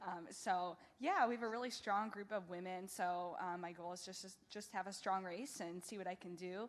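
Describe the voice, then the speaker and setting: A woman with a Midwestern American accent at a moderate pace, fairly even in intonation, with hardly any pauses and audible room echo. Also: medium pitch for a woman. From US Midwest. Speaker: wheelchair marathon athlete. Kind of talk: press conference answer. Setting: press conference.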